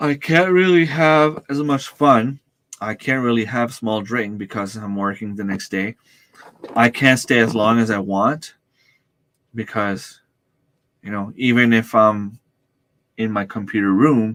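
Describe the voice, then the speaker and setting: The man's pitch sits in the medium range, with ordinary variation. He talks at a fairly slow pace and leaves long, frequent pauses. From New Brunswick, Canada. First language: French. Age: 40s. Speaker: homesteading YouTuber. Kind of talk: livestream chat. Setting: home computer room. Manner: speaks loudly to reach mic; hesitant, stumbles over words.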